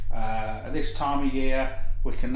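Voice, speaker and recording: A man's voice carries audible room echo. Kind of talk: tutorial. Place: workshop.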